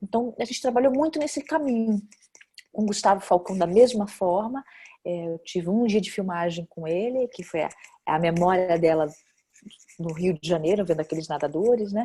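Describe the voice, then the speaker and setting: A woman's medium-pitched, dark and mellow voice, lively in intonation, at a moderate pace with long, frequent pauses. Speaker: actress and film director. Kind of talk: interview. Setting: video call. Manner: hesitant, many fillers.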